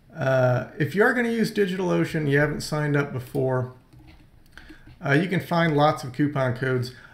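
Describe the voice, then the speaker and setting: Audible room echo surrounds a man speaking at a fairly quick pace. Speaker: screencast host. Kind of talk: tutorial. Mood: enthusiastic recommendation.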